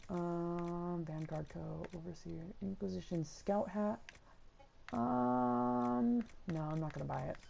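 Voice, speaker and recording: A woman speaks very slowly in a very deep, low voice with a dark, mellow tone and very wide pitch swings. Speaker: video game streamer. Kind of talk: live gameplay commentary. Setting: livestream from home. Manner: not shouting, calm; hesitant with many ums.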